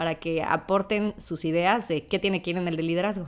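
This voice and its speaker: A woman talks at a fairly quick pace and a medium pitch, with fairly even intonation. It's a plain, everyday voice on a very clean recording with a silent background. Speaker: podcast host, scholarship alumna. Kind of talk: casual panel chat.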